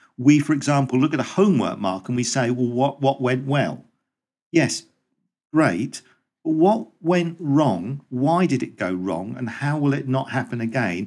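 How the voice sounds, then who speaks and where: A man with an ordinary speaking voice talks at a fairly slow pace. His pitch is medium and his intonation lively. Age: 50s. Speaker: teacher. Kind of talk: casual chat.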